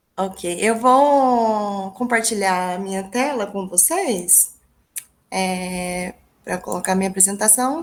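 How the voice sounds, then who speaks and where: A woman speaks with a Minas Gerais accent. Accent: mineiro accent, noticeable. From small town in interior of Minas Gerais, Brazil. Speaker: English teacher and researcher. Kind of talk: academic presentation.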